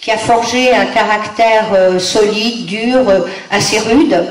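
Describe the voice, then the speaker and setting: A woman is speaking with noticeable background noise. Her voice carries an audible room echo. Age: 70s. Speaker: guest lecturer, granddaughter of an aviation pioneer. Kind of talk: lecture. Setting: conference room with audience. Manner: hesitant, many fillers.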